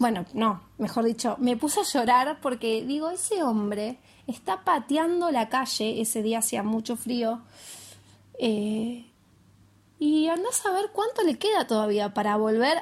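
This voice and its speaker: A woman's high-pitched voice, lively in intonation, at a fairly slow pace. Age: 30s. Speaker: podcaster. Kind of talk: casual monologue. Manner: consciously slowed pace.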